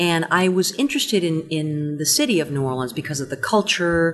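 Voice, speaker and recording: Through noticeable background noise, a woman speaks in a fairly low pitch. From Cuba. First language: Spanish. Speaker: stage and screen actress. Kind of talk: casual interview.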